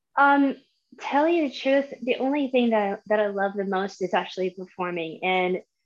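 A woman with an American accent speaks in an ordinary speaking voice. Her pitch is medium with ordinary variation, and the background is quiet. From Florida. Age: 30s. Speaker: massage therapist. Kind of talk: casual interview. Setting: live video stream.

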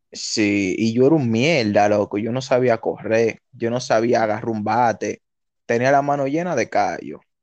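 Over a quiet background, a man with a normal speaking voice talks at a fairly slow pace, medium pitch and ordinary pitch variation. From Dominican Republic, Santo Domingo (Los Minas). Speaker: podcast co-host. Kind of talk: casual chat.

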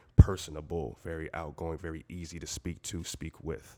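The voice carries an American accent and vocal fry. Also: man. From Southwest Florida. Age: 20s. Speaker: sports media entrepreneur. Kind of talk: casual interview.

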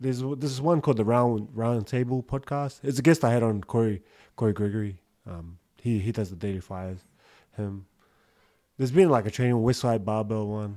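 The voice has a dark, mellow tone and ordinary pitch variation, moving at a fairly quick pace in a very clean recording with a silent background. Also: man, medium pitch for a man. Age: 30s. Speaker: podcast host. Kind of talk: casual chat. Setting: studio.

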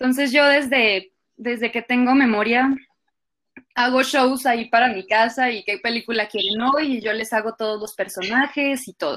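A woman with a plain, everyday voice, fairly high in pitch, fairly even in intonation, at a moderate pace. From Colombia. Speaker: actress. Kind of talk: casual interview chat.

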